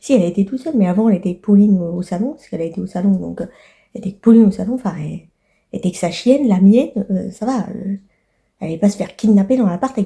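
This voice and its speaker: Somewhat breathy and dark, mellow in tone, a woman at a medium pitch talks at a very fast pace with ordinary pitch variation and long, frequent pauses. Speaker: vlogger. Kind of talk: casual vlog monologue. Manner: halting, many fillers.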